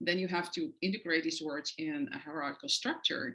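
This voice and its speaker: With a Dutch accent, a woman talks at a moderate pace. Her voice is fairly low in pitch, with a bright, sharp tone. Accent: foreign accent (Dutch). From Netherlands. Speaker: professor. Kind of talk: lecture. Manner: frequent hesitations (uh, um).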